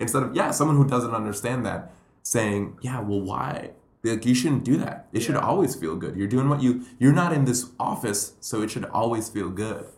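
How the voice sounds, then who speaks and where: In a room with audible echo, a man speaks with a somewhat breathy voice at medium pitch, ordinary pitch variation and a moderate pace. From Puerto Rico. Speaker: comedian and educator. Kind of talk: casual chat.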